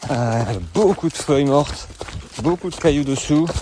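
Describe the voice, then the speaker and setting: Amid noticeable background noise, a man speaks at a fairly slow pace with lively intonation. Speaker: trail running coach and podcaster. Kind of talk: vlog recorded while racing. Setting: outdoors on a trail race. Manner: halting.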